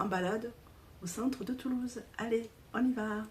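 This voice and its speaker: A woman speaks at a moderate pace in a dark, mellow tone that is somewhat breathy. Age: 60s. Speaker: vlogger. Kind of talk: casual vlog. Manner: halting.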